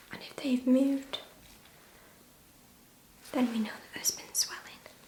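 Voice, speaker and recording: Whispering in a calm tone at a moderate pace, a woman's voice shows big swings in loudness over noticeable background noise. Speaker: ASMR nurse roleplay artist. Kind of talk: ASMR roleplay as a nurse talking to a patient. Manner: soft-spoken, calm, reassuring.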